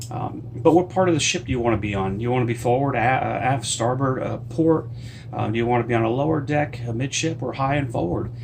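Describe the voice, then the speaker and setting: Talking very fast with an American accent, a man is heard over noticeable background noise and audible room echo. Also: medium pitch for a man, ordinary pitch variation. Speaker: cruise travel vlogger and author. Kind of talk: casual tutorial vlog. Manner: hesitant, many fillers.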